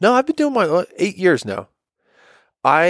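On a very clean recording with a silent background and a dry, close sound with no echo, a man speaks in an animated tone with very wide pitch swings. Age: 20s. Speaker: podcast co-host. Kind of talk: casual chat.

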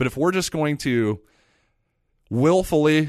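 A man speaks in a plain, everyday voice with lively intonation. His pace is moderate and the background quiet. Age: 30s. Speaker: podcast host. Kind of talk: solo podcast monologue. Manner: casual, conversational.

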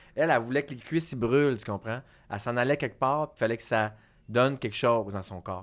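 A man talks very quickly at a mid-range pitch, recorded very cleanly over a silent background. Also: ordinary pitch variation. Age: 40s. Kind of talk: casual chat. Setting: studio.

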